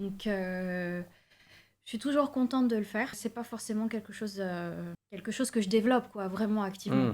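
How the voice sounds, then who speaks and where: A woman speaks at a moderate pace in a medium pitch. Her pitch variation is ordinary. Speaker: singer and songwriter. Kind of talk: casual interview chat.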